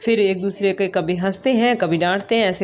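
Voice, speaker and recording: Noticeable background noise behind a woman's moderate pace. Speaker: vlogger and schoolteacher. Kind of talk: casual vlog. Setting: at home.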